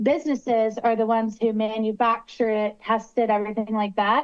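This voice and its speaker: A woman with a slight West Virginia accent speaks at a moderate pace in a fairly high pitch. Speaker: attorney advising city council. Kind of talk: public meeting discussion. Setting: video call shown on screen.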